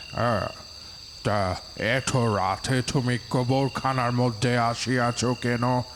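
A man puts on a character voice at a medium pitch, speaking at a very slow pace. Loud background noise fills the clip. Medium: audio drama. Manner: gruff, mocking, laughing.

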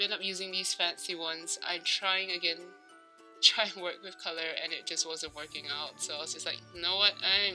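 With music in the background, a woman with a fairly low voice talks at a moderate pace and fairly even intonation. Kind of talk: casual gameplay commentary. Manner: rambling, hesitant.

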